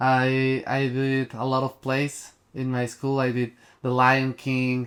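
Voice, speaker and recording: A man's medium-pitched voice with a strong Mexican accent, at a very slow pace and in a flat monotone. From Mexico. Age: 20s. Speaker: actor and production designer. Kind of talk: casual interview. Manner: halting, many fillers and restarts.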